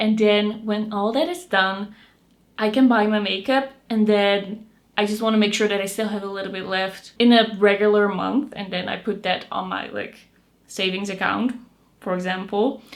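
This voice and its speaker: Speaking with a Dutch accent, a woman keeps a medium pitch, fairly even intonation and a moderate pace. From Netherlands. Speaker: beauty youtuber. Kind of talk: casual chat.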